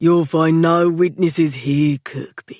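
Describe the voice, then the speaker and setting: A put-on character voice speaks at a fairly slow pace. Its pitch sits in the middle range. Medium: read story. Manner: menacing, sardonic.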